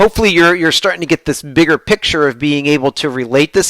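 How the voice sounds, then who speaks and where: An American accent with ordinary pitch variation, in a dry, close recording with no echo. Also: man. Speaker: professor. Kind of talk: lecture. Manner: animated.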